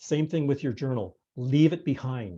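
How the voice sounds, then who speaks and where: A dark, mellow tone at a fairly slow pace, with a Canadian accent. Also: man. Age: 60s. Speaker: retired museum and archives professional. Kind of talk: presentation on a video call. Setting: video call. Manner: hesitant, many fillers and repetitions.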